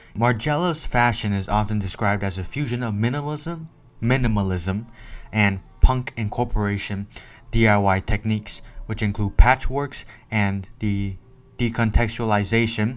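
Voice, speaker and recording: Music plays in the background as a man with a fairly low voice speaks at a moderate pace with ordinary pitch variation. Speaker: fashion content creator. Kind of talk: research presentation. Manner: loud; halting.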